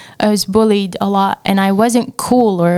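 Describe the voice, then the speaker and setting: A woman with an Arabic accent, a fairly high pitch, ordinary pitch variation, and a fairly slow pace, in a dry, close sound with no echo. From Syria. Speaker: entrepreneur. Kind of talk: casual chat.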